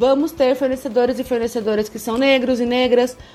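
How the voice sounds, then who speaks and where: A woman's high voice at a moderate pace, with music in the background. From interior of São Paulo state, Brazil (Campinas). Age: 30s. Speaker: lawyer and gender equity consultant. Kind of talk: podcast interview.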